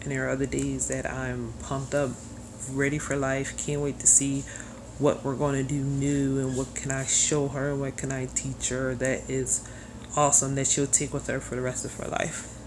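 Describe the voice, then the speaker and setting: There is audible echo from the room. Background noise is noticeable too. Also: woman, moderate pace. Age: 30s. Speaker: single mother video blogger. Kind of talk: personal video blog, confessional.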